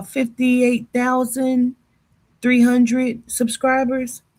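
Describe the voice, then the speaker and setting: A woman talks loudly at a high pitch and a fairly slow pace. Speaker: psychic livestreamer. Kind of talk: casual livestream monologue. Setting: livestream on two platforms.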